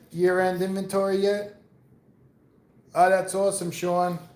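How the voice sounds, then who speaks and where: A man with an American accent speaks at a high pitch and a moderate pace in a monotone, flat intonation. Audible room echo surrounds his voice. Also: long, frequent pauses. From New York. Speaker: live streamer. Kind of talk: casual chat. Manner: rambling casual, many fillers.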